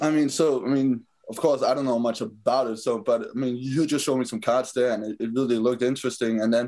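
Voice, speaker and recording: A man with a Danish accent talks at a very fast pace with hardly any pauses, using a medium pitch and fairly even intonation. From Denmark. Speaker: professional football player. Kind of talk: interview.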